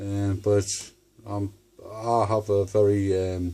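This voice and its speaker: A man speaks in a somewhat breathy voice. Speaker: paranormal video maker. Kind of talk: casual monologue to camera. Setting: at home. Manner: halting.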